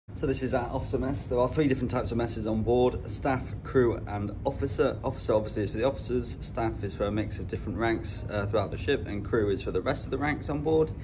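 Over noticeable background noise, a man with a fairly low pitch talks at a very fast pace with hardly any pauses and ordinary pitch variation. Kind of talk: casual vlog chat. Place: cafe. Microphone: phone near.

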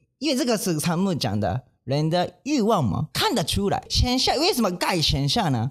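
With a Japanese accent, a man talks at a moderate pace with hardly any pauses and very even loudness over a quiet background. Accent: non-native Mandarin, Japanese. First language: Japanese (speaking Chinese). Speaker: manzai comedian, podcast co-host. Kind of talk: casual chat. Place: studio. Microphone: studio mic.

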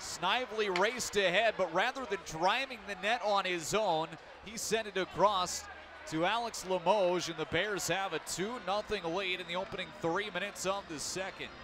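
A man with a high pitch speaks at a moderate pace, the sound dry with no echo but with noticeable background noise. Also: ordinary pitch variation. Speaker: hockey play-by-play announcer. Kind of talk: live play-by-play hockey commentary. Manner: shifts to calmer wrap-up summary after the final goal. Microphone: headset.

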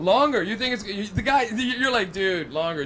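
There is light background noise. A man speaks in a high pitch with lively intonation. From Canada. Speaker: stand-up comedian. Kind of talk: stand-up. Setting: stage with audience. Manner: animated. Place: stage. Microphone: handheld.

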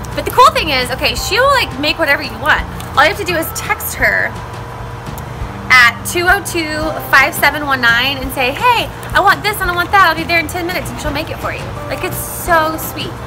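Clear music plays behind a woman speaking at a fairly quick pace. Her pitch is extremely high. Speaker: food vlogger. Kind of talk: casual vlog chat. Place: street.

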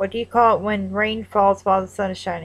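In a Northern Kentucky accent, a woman speaks at a moderate pace. Her pitch is fairly high. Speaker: vlogger. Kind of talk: accent tag vlog. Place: home room. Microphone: webcam.

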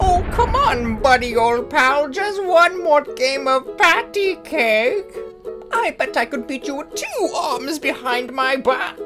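A cartoonish character voice, pitched high, talks at a fairly slow pace over clear music in the background. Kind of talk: comic overacting. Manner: playful, punning, mock-friendly.

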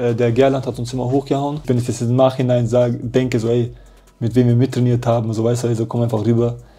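The speaker is a man with a dark, mellow tone. He talks at a very fast pace. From Germany. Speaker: professional footballer; interview guest. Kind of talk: casual interview chat. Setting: hotel. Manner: animated. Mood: lively storytelling, animated. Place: home room.

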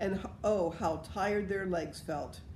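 A woman with a dark, mellow tone and vocal fry speaks at a fairly slow pace with ordinary pitch variation, over light background noise and audible room echo. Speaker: storyteller. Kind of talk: reading a story aloud. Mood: calm, gentle storytelling. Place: home room. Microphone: phone near.

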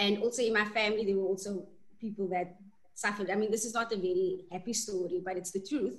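A woman at a medium pitch talks at a very fast pace with fairly even intonation. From South Africa. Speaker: winemaker. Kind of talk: panel discussion. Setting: video call. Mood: warm, animated. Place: home room. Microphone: video call.

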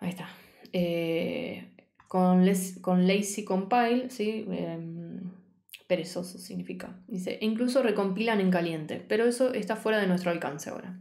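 A woman speaks at a fairly slow pace with a medium pitch and a dark, mellow tone. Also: ordinary pitch variation, quiet background. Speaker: programming teacher. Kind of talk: live-streamed coding class. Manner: casual, chatty with live chat; stumbling, self-correcting. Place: home room.

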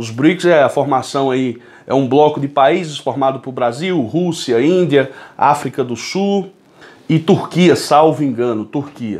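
A man's fairly high voice with ordinary pitch variation at a fairly slow pace. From Brazil. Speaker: political commentator. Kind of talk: political commentary monologue. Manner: animated. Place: home room. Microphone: phone near.

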